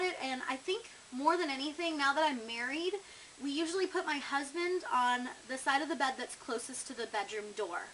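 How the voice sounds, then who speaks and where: A woman's raised, projected voice with very wide pitch swings at a moderate pace, over noticeable background noise. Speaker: vlogger. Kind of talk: casual vlog, tag questions. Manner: chatty, with filler words.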